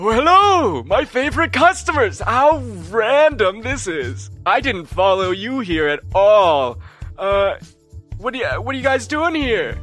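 A man's put-on character voice, high-pitched and fairly slow, with faint music in the background. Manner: cheerful, feigning innocence.

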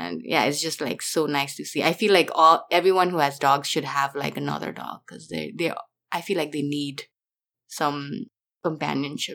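A woman with a very deep, low pitch and vocal fry talks at a moderate pace, her lively intonation paired with big swings in loudness. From Nepal, Kathmandu. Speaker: YouTube creator. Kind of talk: casual interview chat.

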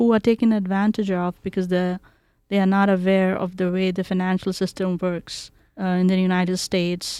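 A woman speaks with an Indian accent at a medium pitch. Her tone is dark and mellow. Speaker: community outreach director. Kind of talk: interview. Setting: video call.

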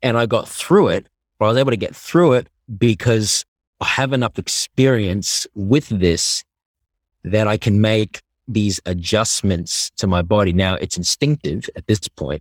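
In an Australian accent, a man speaks with lively intonation, in a dry, close sound with no echo and a very clean recording with a silent background. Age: 20s. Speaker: athlete. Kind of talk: casual chat.

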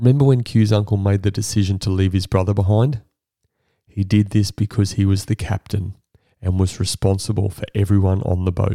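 With an Australian accent, a man speaks fairly quickly at a fairly low pitch in a dark, mellow tone with fairly even intonation. The sound is dry and close with no echo, and the recording is very clean against a silent background. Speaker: podcast host. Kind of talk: interview. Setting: host's home.

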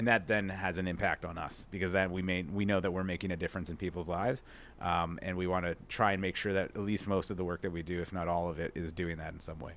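On a very clean recording with a silent background, a man talks at a very fast pace with hardly any pauses, his very deep, low pitch held in a monotone, flat intonation. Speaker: media company owner. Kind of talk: casual interview chat. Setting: living room recording. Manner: fast talker when passionate.

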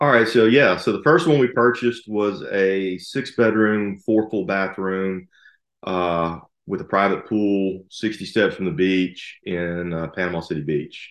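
A man speaks with a Southern US accent at a fairly slow pace. His pitch variation is ordinary, and the background is quiet. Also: fairly low pitch for a man. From Alabama, US South. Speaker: lawyer and rental property investor. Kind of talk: casual chat.

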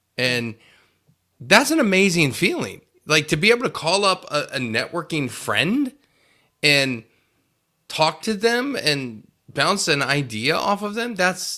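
In an American accent, a man talks at a fairly slow pace. His bright, sharp tone moves through very wide pitch swings. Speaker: podcast host. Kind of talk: casual interview. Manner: animated.

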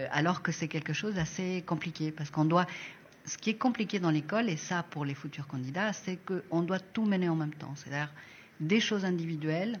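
At a moderate pace, a woman talks in a somewhat breathy, fairly low voice with ordinary pitch variation. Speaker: design school coordinator. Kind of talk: casual interview.

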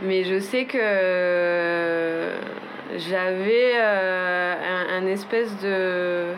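A woman with a southern French accent speaks at a very slow pace with fairly even intonation and very even loudness, over noticeable background noise and audible room echo. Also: medium pitch for a woman. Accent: southern French mountain. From French Pyrenees, south of Haute-Garonne. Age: 20s. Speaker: interviewee. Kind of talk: casual chat. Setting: home balcony. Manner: hesitant, many fillers.

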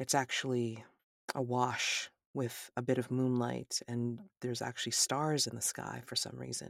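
The speaker reads aloud in a natural voice with a quiet background.

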